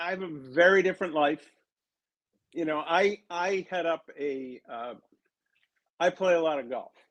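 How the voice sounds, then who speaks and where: A man talks with an American accent in a high voice. His pace is moderate and his pitch variation ordinary. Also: long, frequent pauses, big swings in loudness. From New York. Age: 70s. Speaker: leadership consultant and author. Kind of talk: podcast interview. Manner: halting.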